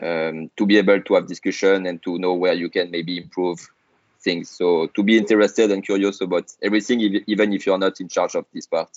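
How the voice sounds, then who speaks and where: Speaking with a French accent, a man talks at a fairly quick pace in a fairly low pitch with monotone, flat intonation. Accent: noticeable French. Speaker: startup founder and CEO. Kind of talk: podcast interview. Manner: hesitant, many fillers.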